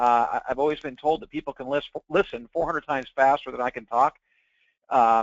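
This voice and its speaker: A man talks at a very fast pace in a fairly high voice. His pitch varies in an ordinary way. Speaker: webinar presenter. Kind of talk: sales pitch. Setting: webinar.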